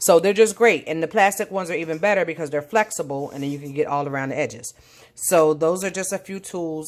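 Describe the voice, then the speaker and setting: A woman's very deep, low voice with lively intonation at a fairly quick pace, on a very clean recording with a silent background. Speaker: home baker. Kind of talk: cooking tutorial. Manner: fast; casual with fillers.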